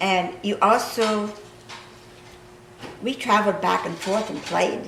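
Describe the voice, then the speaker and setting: With a Midwestern US accent, a woman talks at a fairly slow pace and fairly even intonation, amid audible room echo and noticeable background noise. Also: medium pitch for a woman. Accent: rural Midwestern American. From Kansas. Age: 80s+. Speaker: local history interviewer. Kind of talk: reminiscing conversation.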